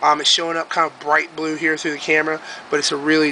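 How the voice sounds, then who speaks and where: Over noticeable background noise, a man speaks at a fairly high pitch. His pace is very fast. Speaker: YouTube craft video maker. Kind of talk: casual tutorial showing crafts to camera. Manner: hesitant, many filler ums; off the cuff, unscripted.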